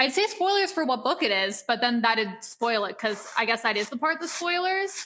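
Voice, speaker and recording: A woman's high voice is raised and projected, with very wide pitch swings. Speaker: student content creator. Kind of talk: casual chat. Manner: loud.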